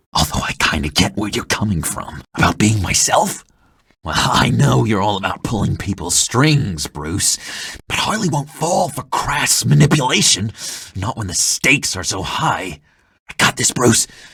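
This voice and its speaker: Putting on a character voice, a man speaks at a fairly low pitch with very wide pitch swings. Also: moderate pace. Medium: video game. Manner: nervous.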